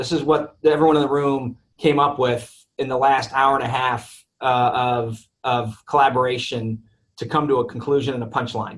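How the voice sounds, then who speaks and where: A man with a medium pitch speaks in a somewhat breathy voice. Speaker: real estate developer executive. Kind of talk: webinar presentation. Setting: webinar. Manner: fast.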